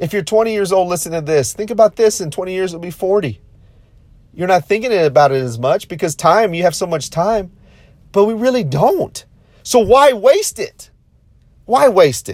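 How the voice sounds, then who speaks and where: An animated man with a high pitch and lively intonation at a moderate pace, broken by long, frequent pauses. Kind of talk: pep talk. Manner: animated, high-energy, rallying; repetitive, emphatic, punchy.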